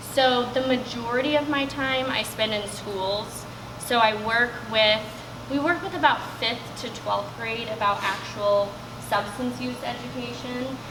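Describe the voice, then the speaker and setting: A woman with a fairly high voice speaks at a fairly slow pace with ordinary pitch variation, over noticeable background noise and audible room echo. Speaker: substance use educator. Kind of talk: presentation. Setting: room with live audience, no microphone. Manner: loud.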